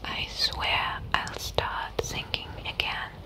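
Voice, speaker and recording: A woman is speaking. She whispers. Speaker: ASMR creator. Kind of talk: casual soft-spoken chat. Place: home room. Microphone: studio mic.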